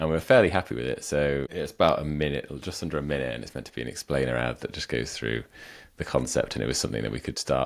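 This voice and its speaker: Very fast speech from a man with a very deep, low pitch and vocal fry, ordinary pitch variation and big swings in loudness, on a very clean recording with a silent background. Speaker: podcast co-host and startup founder. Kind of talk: casual chat.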